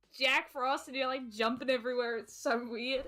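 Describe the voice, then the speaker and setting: Her voice raised and projected, a woman with a high pitch talks at a moderate pace. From Britain. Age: 20s. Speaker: gaming streamer guest. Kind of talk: casual chat. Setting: live stream. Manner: animated.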